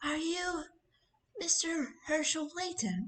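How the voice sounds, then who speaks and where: This is a put-on character voice that sounds female. Its pitch is extremely high for a woman. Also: fairly slow pace. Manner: polite, inquiring.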